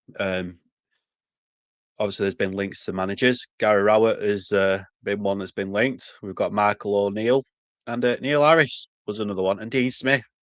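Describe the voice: The tone is fairly bright. The intonation stays fairly even. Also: man, fairly low pitch for a man, moderate pace.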